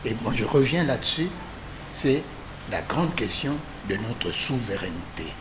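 Amid noticeable background noise, a man speaks at a fairly slow pace with very wide pitch swings and long, frequent pauses. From DR Congo. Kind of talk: political panel discussion. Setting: TV studio. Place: studio. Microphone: podium.

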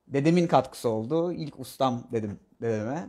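Against a quiet background, a man talks with ordinary pitch variation. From Bodrum, Turkey; Turkey. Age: 20s. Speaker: architect; interviewee. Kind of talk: interview. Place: home room. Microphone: camera far.

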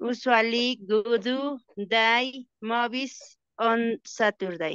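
In a Spanish accent, a woman speaks at a fairly high pitch with ordinary pitch variation. The sound is dry with no echo and the background is quiet. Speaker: English student. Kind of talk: reading exercise sentences aloud. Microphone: video call.

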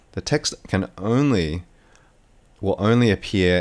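A man is speaking. He has an Australian accent. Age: 30s. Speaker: video editing tutor. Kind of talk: tutorial. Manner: casual, hesitant with fillers.

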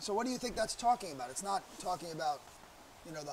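A man's lively intonation over noticeable background noise. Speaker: Bible teacher. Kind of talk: Bible teaching lecture.

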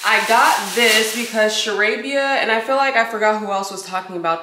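A woman's moderate-paced speech with ordinary pitch variation over noticeable background noise. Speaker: lifestyle vlogger. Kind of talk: casual vlog chat. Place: kitchen. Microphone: camera far.

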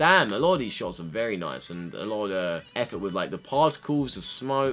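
With faint music behind him, a man at a fairly low pitch talks at a fairly quick pace, his pitch swinging very widely. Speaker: YouTuber, K-pop reactor. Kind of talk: casual reaction commentary. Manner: fast-talking. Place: home room. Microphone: webcam.

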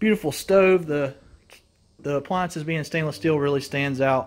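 Fairly high-pitched male voice at a fairly quick pace. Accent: Southern US. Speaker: mobile home tour video host. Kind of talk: home tour walkthrough. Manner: enthusiastic; fast. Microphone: phone near.

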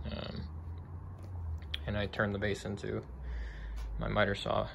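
Light background noise runs under the audio. A man is talking. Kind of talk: casual shop tour commentary. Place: garage. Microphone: phone near.

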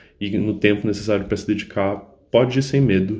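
A man is talking at a moderate pace. His pitch is fairly low. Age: 20s. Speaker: economics graduate, former student of prep course. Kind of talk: testimonial. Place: home room. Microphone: phone near.

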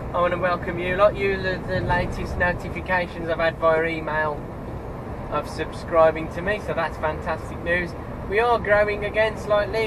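There is noticeable background noise behind the speaker. A man talks at a moderate pace. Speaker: truck driver vlogger. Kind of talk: casual vlog chat. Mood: cheerful, relaxed. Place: car.

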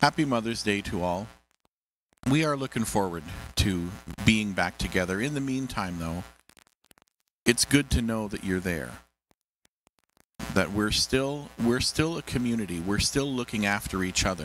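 The speech moves at a moderate pace with long, frequent pauses. Light background noise sits under a dry sound with no echo. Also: man. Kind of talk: church service address and scripture reading. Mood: warm, welcoming. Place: church. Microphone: handheld.

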